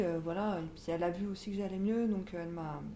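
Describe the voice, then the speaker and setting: A woman speaks in a fairly low pitch with fairly even intonation. Audible room echo and noticeable background noise come through. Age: 20s. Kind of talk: interview testimony. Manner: halting, many hesitations.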